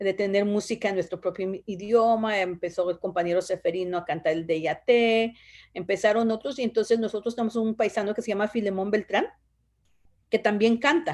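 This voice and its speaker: A woman in an Oaxacan accent at a fairly quick pace with ordinary pitch variation. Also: medium pitch for a woman. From Oaxaca, Mexico (Zapotec village), raised in Los Angeles from age 10. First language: Zapotec (speaking Spanish). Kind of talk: interview. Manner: hesitant, many fillers.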